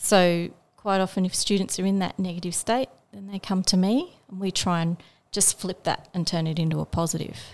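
Speaking fairly quickly with an Australian accent, a woman keeps a medium pitch and fairly even intonation on a very clean recording with a silent background. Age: 50s. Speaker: special education teacher. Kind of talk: interview.

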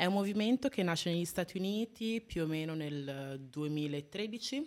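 A woman speaks with ordinary pitch variation. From Italy (Modena area), foreign-born parents. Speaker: activist, university student. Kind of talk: live radio interview. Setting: radio studio.

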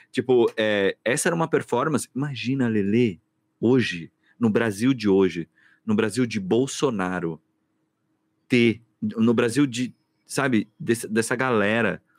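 Medium-pitched male voice with ordinary pitch variation, fairly slow pace and long, frequent pauses, on a very clean recording with a silent background. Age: 40s. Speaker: podcast host, theatre director and actor. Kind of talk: casual chat.

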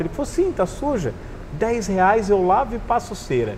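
Amid noticeable background noise, a man talks at a moderate pace with lively intonation. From northern Paraná, Brazil (Cornélio Procópio, near Londrina). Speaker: motorcycle traveler. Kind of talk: casual interview storytelling. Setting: motorcycle bar.

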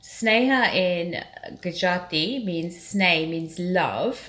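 There is noticeable noise in the background. The speech moves at a very slow pace. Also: woman. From England, Tanzanian-born of Indian origin. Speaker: spiritual healer and life coach. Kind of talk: casual interview.

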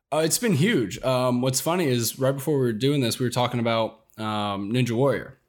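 A man with a normal speaking voice talks at medium pitch and a fairly quick pace, with hardly any pauses. His loudness stays very even in a very clean recording with a silent background. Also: ordinary pitch variation. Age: 20s. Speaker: social media content creator. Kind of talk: casual interview.

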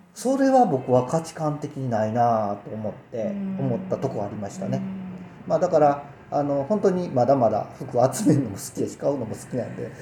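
A man's fairly high voice with very wide pitch swings, big jumps in loudness, a moderate pace and noticeable background noise. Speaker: radio co-host and family tailor shop owner. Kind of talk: casual chat.

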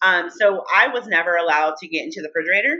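A woman speaks at a very fast pace with a bright, sharp tone. Her pitch is fairly low, with ordinary pitch variation. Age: 40s. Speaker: podcast co-host, trauma survivor. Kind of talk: casual chat.

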